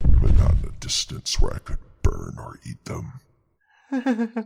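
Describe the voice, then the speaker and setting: A man growls in a put-on character voice at a fairly slow pace. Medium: audio drama. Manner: calm, dry, understated.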